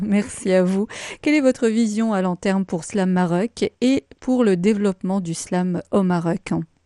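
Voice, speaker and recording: The recording is very clean, with a silent background and a dry, close sound with no echo. A woman speaks with a dark, mellow tone and ordinary pitch variation. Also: medium pitch for a woman. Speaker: radio host. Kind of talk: radio presenter introduction and interview questions. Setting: radio studio.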